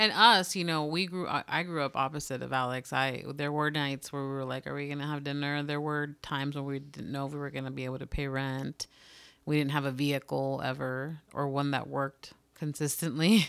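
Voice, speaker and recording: On a very clean recording with a silent background, a woman speaks at a fairly quick pace. Her pitch is very deep and low, and her intonation is fairly even. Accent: Spanish. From United States, Mexican-American family. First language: Spanish. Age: 30s. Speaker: podcast co-host. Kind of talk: casual chat. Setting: home recording.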